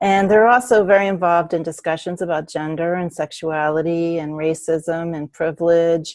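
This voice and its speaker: A woman's fairly low-pitched, unremarkable speaking voice at a moderate pace, with hardly any pauses and fairly even intonation. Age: 60s. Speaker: spiritual teacher. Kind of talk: interview.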